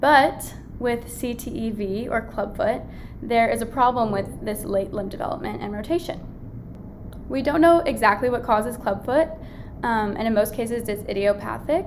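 Over noticeable background noise and audible room echo, a woman speaks at a moderate pace in a fairly high voice with ordinary pitch variation. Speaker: medical student podcast host. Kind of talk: educational lecture.

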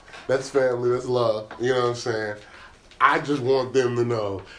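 Noticeable background noise runs beneath a man who speaks at a fairly quick pace. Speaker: podcast host. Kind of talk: casual chat. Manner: animated.

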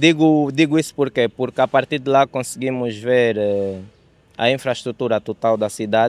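A man with a normal speaking voice talks at a moderate pace and medium pitch, recorded dry and close with no echo. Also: ordinary pitch variation, very clean recording, silent background. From Angola, Luanda. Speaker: photography enthusiast. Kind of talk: casual interview.

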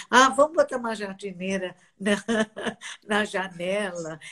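The pace is very slow. A woman talks at a medium pitch. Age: 80s. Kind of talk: casual chat.

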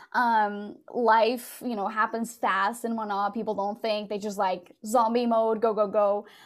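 Someone speaks at a fairly slow pace in a Portuguese accent, in a very clean recording with a silent background. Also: woman. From Portugal. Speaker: podcast company founder. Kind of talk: casual interview chat.

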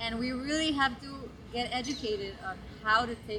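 Ordinary pitch variation with audible room echo. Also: woman. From Guatemala. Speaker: social entrepreneur. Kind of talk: interview. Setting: outdoors in a park. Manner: halting, many repeated words.

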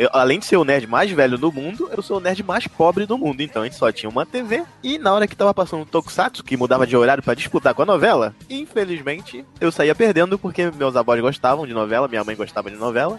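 A man talks very fast in an animated tone, with hardly any pauses and very wide pitch swings. Noticeable background noise runs throughout. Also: fairly high pitch for a man. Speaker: podcast host. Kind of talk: casual chat.

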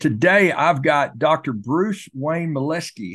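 Here is a man with a normal speaking voice and a fairly high pitch. His intonation is lively against a quiet background. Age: 60s. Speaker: podcast host. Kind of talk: casual interview.

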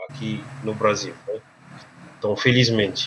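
A man with a slight Cameroonian accent. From Cameroon, French-speaking region. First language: French (speaking Portuguese). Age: 30s. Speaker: English and French teacher. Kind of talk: interview. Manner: hesitant, filler-heavy.

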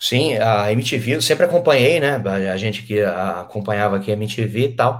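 At a moderate pace, a man talks in a somewhat breathy voice with lively intonation. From São Paulo interior, Brazil (Penápolis). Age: 30s. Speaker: radio host and comedian. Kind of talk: casual interview.

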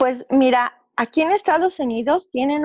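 This woman has an ordinary speaking voice, talking at a fairly slow pace with lively intonation in a dry, close sound with no echo. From Mexico City. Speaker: business owner. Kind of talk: interview testimony.

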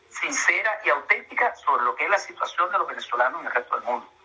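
A man races through his words at a very fast pace while noticeable background noise carries on. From Venezuela, Ciudad Bolívar. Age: 60s. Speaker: engineer and Venezuelan emigrant. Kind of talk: interview.

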